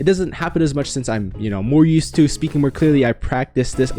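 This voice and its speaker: Music plays in the background. The speech is very fast, with lively intonation. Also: man. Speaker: YouTuber, self-improvement / speech tips creator. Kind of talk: casual talk to camera.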